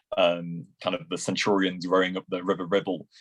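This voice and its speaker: In a Lancashire accent, a man talks at a fairly quick pace with a very deep, low pitch. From Lancashire, northwest England. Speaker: classics student and poet. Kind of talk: interview.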